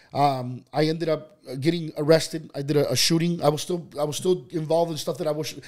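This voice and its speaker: Speaking very fast with hardly any pauses, a man uses a monotone, flat intonation. His pitch is fairly high. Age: 30s. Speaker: entrepreneur. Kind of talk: interview, personal life story. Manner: casual, many fillers and restarts.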